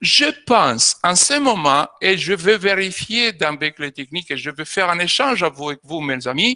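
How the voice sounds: At a fairly slow pace, a man talks with a bright, sharp tone and lively intonation in a dry, close sound with no echo.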